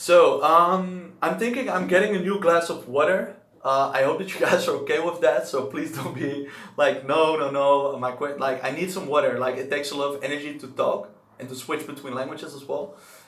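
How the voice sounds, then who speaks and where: Speaking at a fairly quick pace with a Dutch accent, the voice shows big swings in loudness over noticeable background noise and audible room echo. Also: man, fairly high pitch for a man, ordinary pitch variation. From Netherlands. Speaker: language-learning streamer. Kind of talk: live stream chat. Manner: casual.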